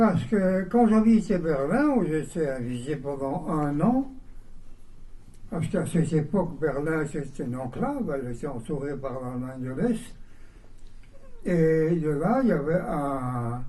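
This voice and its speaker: Delivery is fairly slow, with long, frequent pauses and audible room echo. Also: man, fairly high pitch for a man, lively intonation. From Belgium, Mons. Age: 80s+. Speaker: composer. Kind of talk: interview answers. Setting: bookshop event with audience.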